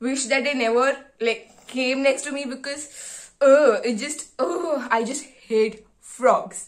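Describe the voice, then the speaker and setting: A woman's high-pitched voice at a very slow pace, with ordinary pitch variation, big swings in loudness and a quiet background. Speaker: medical student vlogger. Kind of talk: casual vlog chat. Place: home room. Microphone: phone near.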